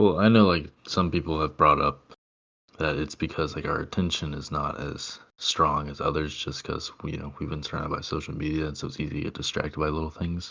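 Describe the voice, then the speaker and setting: A man with a very deep, low pitch and a fairly quick pace. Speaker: podcast co-host. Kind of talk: casual chat. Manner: many filler words.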